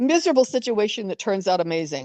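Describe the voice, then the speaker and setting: A woman with an American accent talks at a fairly quick pace in a dark, mellow tone with very wide pitch swings. The sound is dry and close, with no echo. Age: 70s. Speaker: family heir and storyteller. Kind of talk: interview conversation. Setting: phone call.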